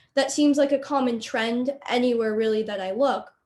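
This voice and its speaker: Fairly even intonation in an ordinary speaking voice, moving at a moderate pace. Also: woman. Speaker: student debater. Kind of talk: panel discussion.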